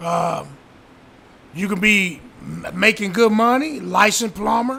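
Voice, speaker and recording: A man's raised, projected voice at a fairly slow pace, with lively intonation over noticeable background noise. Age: 60s. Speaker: real estate investor. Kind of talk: casual interview. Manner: halting.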